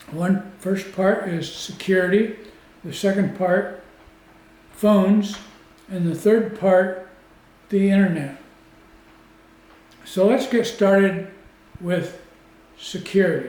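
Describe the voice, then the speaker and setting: Talking at a very slow pace with long, frequent pauses, a man uses a high voice and fairly even intonation over audible room echo. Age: 70s. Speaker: retiree teaching technology basics. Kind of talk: tutorial.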